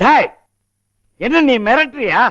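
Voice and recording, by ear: A man puts on a character voice pitched extremely high. He talks at a slow pace with big pitch swings. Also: fairly bright tone.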